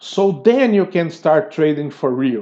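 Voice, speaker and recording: This is a man's voice. The tone is dark and mellow. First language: not English. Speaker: tutorial creator. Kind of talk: tutorial. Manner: halting.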